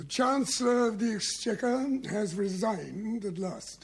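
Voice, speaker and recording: Putting on a character voice, a man talks high for a man at a moderate pace with ordinary pitch variation. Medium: short film.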